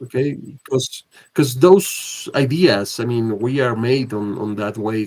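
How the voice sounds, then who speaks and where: Speaking with a Spanish accent, a man uses a medium pitch, ordinary pitch variation and a fairly slow pace. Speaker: film discussion club host. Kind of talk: casual film discussion. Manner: halting, many hesitations.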